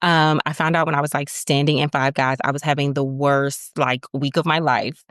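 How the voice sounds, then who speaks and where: With an American accent, the speaker goes at a fairly quick pace, and the sound is dry and close with no echo. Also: woman. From Maryland, United States. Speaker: lactation consultant. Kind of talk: guest interview answer. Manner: upbeat, energetic.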